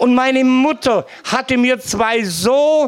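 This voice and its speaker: A man speaks at a very slow pace in an extremely high pitch. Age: old. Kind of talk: testimony. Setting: live event with audience.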